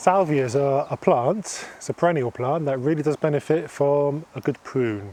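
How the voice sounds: Speaking at medium pitch, a man has a dark, mellow tone and ordinary pitch variation.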